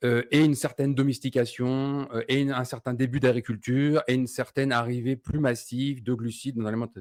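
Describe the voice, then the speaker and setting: Hardly pausing, a man talks at a fairly quick pace and medium pitch in a monotone, flat intonation. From France. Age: 40s. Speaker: keto diet community founder. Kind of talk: podcast interview.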